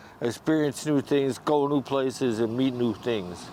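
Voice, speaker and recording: Medium pitch from a man over noticeable background noise. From US Midwest, Saint Paul, Minnesota. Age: 60s. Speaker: homeless military veteran. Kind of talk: street interview. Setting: outdoors on the street.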